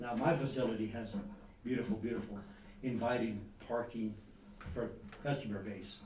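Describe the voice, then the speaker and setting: Audible room echo surrounds speech whose pitch varies in an ordinary way. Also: man. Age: 80s+. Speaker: business owner speaking at public comment. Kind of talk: public comment at council meeting. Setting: city council chamber.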